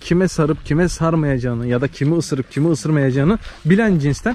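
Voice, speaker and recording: In an unremarkable speaking voice with a fairly high pitch, a man talks at a fairly quick pace with lively intonation, the sound dry with no echo. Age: 20s. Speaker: village life and livestock vlogger; livestock vlogger. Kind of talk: casual vlog talk to camera. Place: farm. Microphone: phone near.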